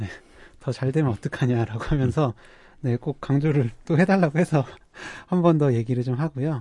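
A man speaks at a moderate pace and medium pitch, his voice somewhat breathy with a dark, mellow tone and ordinary pitch variation. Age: young. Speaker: psychiatrist podcast co-host. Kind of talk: casual chat.

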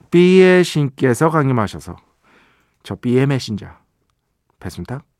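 Speaking at a very slow pace, a man uses very wide pitch swings. His pitch sits in the medium range. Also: very clean recording, silent background. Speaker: radio host and music writer. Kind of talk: radio show monologue. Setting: radio studio. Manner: casual, conversational.

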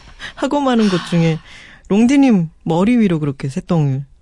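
A woman's dark, mellow voice at medium pitch, with very wide pitch swings, a moderate pace and a quiet background. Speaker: author guest. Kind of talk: casual radio chat. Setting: radio studio.

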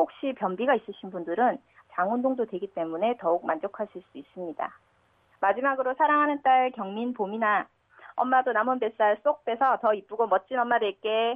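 The woman's fairly high pitch shows ordinary pitch variation as she talks at a moderate pace in a plain, everyday voice. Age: 30s. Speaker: radio listener. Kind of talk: recorded listener tip with exercise instructions.

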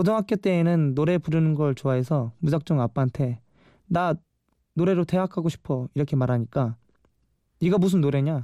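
With a dark, mellow tone and a fairly high pitch for a man, this man speaks at a moderate pace with ordinary pitch variation, captured in a very clean recording with a silent background and a dry, close sound with no echo. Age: 20s. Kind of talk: radio show monologue.

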